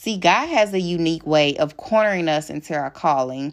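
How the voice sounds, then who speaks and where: A woman with an Alabama accent and a fairly low pitch speaks at a moderate pace, her warm, animated tone showing ordinary pitch variation. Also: quiet background. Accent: Southern US (Alabama). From Alabama, US South. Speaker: women's ministry founder and podcast host. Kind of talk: scripted-style devotional intro monologue. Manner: warm, encouraging, animated.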